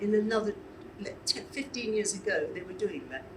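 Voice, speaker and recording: Noticeable background noise accompanies talking that proceeds at a moderate pace. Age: 80s+. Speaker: charity leader and pageant organiser. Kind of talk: casual chat.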